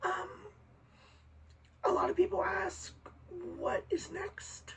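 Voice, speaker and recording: The speaker is a woman. Background noise can be noticeably heard throughout. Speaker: vlogger. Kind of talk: casual vlog. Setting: bedroom next to window. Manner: halting.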